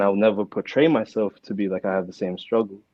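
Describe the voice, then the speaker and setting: A man with an American accent, fairly low in pitch, with fairly even intonation. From Melbourne, Australia. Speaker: hip-hop artist. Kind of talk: podcast interview. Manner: casual, many fillers.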